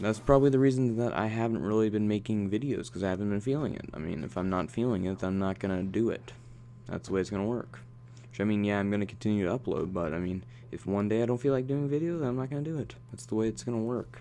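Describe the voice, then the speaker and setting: A man's dark, mellow voice in a fairly low pitch, very fast, with lively intonation. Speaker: gaming commentator. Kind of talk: gameplay commentary monologue. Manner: casual, filler-heavy.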